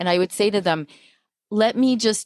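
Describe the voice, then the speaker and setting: An unremarkable speaking voice, a woman's, moves at a fairly quick pace with an American accent and fairly even intonation, in a dry, close sound with no echo on a very clean recording with a silent background. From Long Island, New York. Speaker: podcast host. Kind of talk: casual chat.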